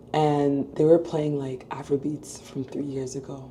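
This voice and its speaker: Over noticeable background noise, a woman talks at a fairly slow pace with a very deep, low pitch. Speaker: dental student vlogger. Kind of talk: casual vlog chat.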